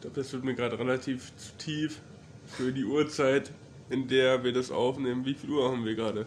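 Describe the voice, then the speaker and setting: Monotone, flat intonation marks this man's medium-pitched voice at a fairly quick pace. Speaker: university student. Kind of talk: casual chat.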